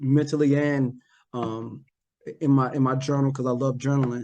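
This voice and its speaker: With a North Carolina accent, a man speaks at a moderate pace in a fairly high pitch. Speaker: operations manager and former Marine officer. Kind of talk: podcast interview. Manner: halting, repetitive.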